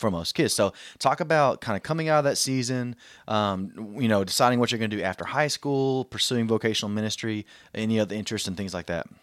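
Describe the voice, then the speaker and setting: On a very clean recording with a silent background and a dry, close sound with no echo, a man with an American accent speaks at a very fast pace with a medium pitch and ordinary pitch variation. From Southeast Texas, US. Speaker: church podcast host. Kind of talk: podcast interview.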